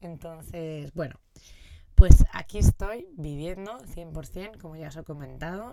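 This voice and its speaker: This woman's voice is very deep and low, with a dark, mellow tone. She speaks at a fairly slow pace with ordinary pitch variation. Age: 30s. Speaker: podcast host. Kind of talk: casual monologue. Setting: in a motorhome.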